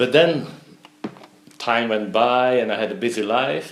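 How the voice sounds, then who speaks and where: A man with a Flemish accent speaks at a moderate pace and medium pitch, with ordinary pitch variation. Noticeable background noise and audible room echo are present. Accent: Belgian Dutch (Flemish) accent in English. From Belgium. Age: 60s. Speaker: entrepreneur. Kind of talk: interview. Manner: halting.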